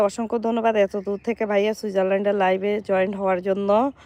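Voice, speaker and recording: The sound is dry and close with no echo as a woman talks at a medium pitch. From Bangladesh, Noakhali. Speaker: vlogger. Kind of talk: live stream chat. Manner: animated.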